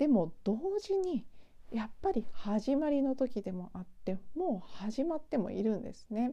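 Speaking at a fairly slow pace, a woman uses a high pitch with a dark, mellow tone, very wide pitch swings and big swings in loudness. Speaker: spiritual podcaster. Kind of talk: solo monologue. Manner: tired, drawn-out.

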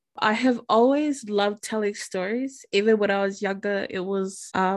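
Over a quiet background, a woman talks at a moderate pace with a medium pitch. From Samoan heritage. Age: 20s. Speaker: podcast host. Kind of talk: podcast introduction monologue.

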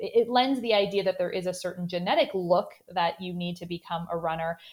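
A woman with a Canadian accent at a fairly quick pace, medium pitch, ordinary pitch variation and a normal speaking voice. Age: 30s. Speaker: sports dietitian. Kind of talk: interview.

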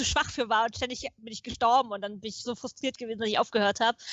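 At a very fast pace, a woman talks in a fairly high pitch with fairly even intonation. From Potsdam, eastern Germany. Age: 30s. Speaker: futurist, podcast guest. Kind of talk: casual chat.

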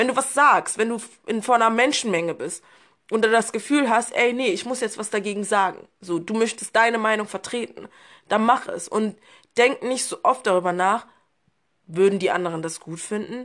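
An unremarkable speaking voice from a woman, fairly high in pitch, at a moderate pace with ordinary pitch variation against a quiet background. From Berlin, Germany. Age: 20s. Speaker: podcast guest. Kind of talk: casual chat.

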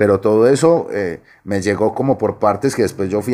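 A man with an Antioquian accent speaks in a fairly low pitch. His pace is fairly quick, with ordinary pitch variation. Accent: Antioquian Colombian Spanish (paisa). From Medellín, Colombia (Aranjuez). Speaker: novelist. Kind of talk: interview.

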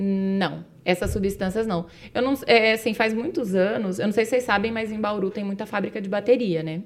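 A woman speaks at a moderate pace, her medium-pitched voice moving with ordinary pitch variation. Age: 40s. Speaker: chemistry teacher. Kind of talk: casual explanatory chat.

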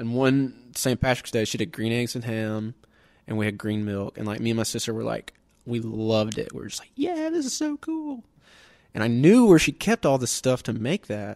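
A man with a Southern US accent at a moderate pace, big swings in loudness, on a very clean recording with a silent background. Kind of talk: casual chat.

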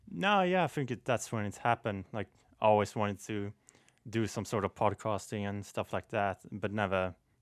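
Recorded very cleanly with a silent background and a dry, close sound free of echo, a man speaks at a fairly low pitch with a Swedish accent. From Sweden. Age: 20s. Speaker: graphic artist and waiter. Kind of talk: casual interview.

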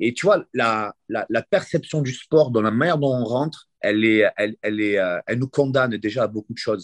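This man has a plain, everyday voice at a medium pitch with ordinary pitch variation, speaking at a moderate pace. The sound is dry and close with no echo, over a quiet background. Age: 40s. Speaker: grappling coach and competitor. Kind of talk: interview.

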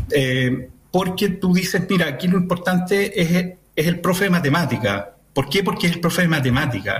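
A high-pitched man speaks at a moderate pace with lively intonation and very even loudness. Noticeable background noise is present. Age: 50s. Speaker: municipal education official. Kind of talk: radio interview.

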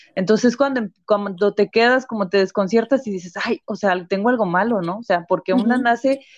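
At a fairly quick pace, a woman of medium pitch speaks with ordinary pitch variation in an unremarkable speaking voice. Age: 30s. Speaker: nutritionist. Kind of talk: interview.

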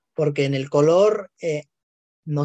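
At a fairly slow pace, a man speaks in a fairly high voice, the sound dry and close with no echo. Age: 20s. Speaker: podcast co-host. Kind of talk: casual science chat.

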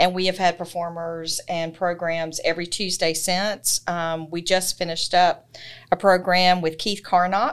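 The speaker has a Southern US accent and a monotone, flat intonation at a fairly slow pace. The recording is very clean, with a silent background. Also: woman, fairly low pitch for a woman. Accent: Southern US (Georgia). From US South, Georgia (Thomson). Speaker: library branch manager. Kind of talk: interview.

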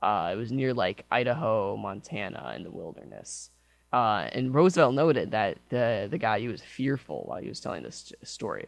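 Speaking in an American accent, a man uses a medium pitch with vocal fry. His intonation is lively and his pace is moderate. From Michigan. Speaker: college radio show host. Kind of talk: casual chat. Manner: halting, many fillers.

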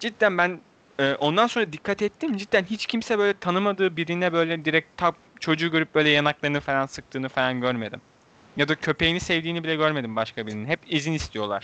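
This man talks at a fairly quick pace with a fairly high pitch and lively intonation. His tone is bright and sharp, and the sound is dry and close with no echo. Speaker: podcast host. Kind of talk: casual chat. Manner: animated.

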